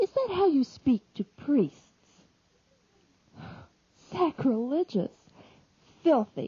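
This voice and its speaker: Very slowly and somewhat breathily, a woman speaks with very wide pitch swings. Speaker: audiobook reader. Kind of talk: dramatic religious reading.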